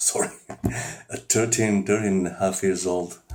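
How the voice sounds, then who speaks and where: Here is a man with a non-native accent. The tone of his voice is dark and mellow. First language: not English. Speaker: amateur singer. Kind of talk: personal monologue. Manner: halting.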